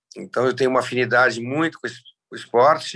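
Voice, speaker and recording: Against a quiet background, a man speaks in a bright, sharp tone with fairly even intonation. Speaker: endurance riding organizer. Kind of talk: casual interview chat.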